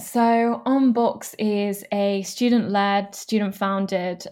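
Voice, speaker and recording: In a very clean recording with a silent background, a woman with a plain, everyday voice speaks with ordinary pitch variation. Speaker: student start-up founder. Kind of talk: interview.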